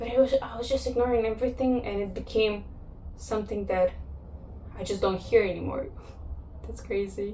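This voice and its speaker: Between long, frequent pauses, a woman speaks fairly quickly with big swings in loudness, audible room echo and noticeable background noise. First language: Russian or Kazakh. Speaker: vlogger. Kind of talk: personal vlog monologue. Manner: reflective, with pauses.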